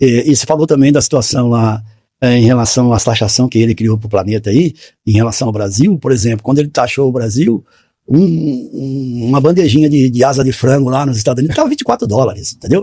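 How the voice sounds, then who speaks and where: A man speaks in a medium-pitched, somewhat breathy voice with a dark, mellow tone. His pitch varies in an ordinary way, and his pace is fairly quick. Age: 60s. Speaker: postal worker. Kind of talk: casual chat.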